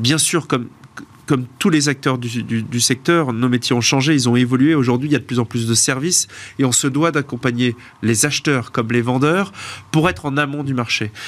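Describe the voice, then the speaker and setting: Medium-pitched man at a moderate pace with ordinary pitch variation. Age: 40s. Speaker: auction house partner, classic car specialist. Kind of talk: studio interview. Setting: studio. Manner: hesitant, many fillers.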